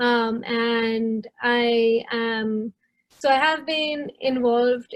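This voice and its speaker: This woman speaks with a Tamil accent at a fairly high pitch, her intonation monotone and flat. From southern India. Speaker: product manager. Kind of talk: panel discussion.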